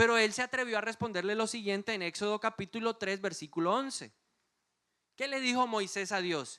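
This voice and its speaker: In a very clean recording with a silent background, a man speaks in a raised, projected voice at a moderate pace. His pitch is high, and his tone is animated, bright and sharp. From Colombia, Bogotá. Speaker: pastor. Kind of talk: sermon.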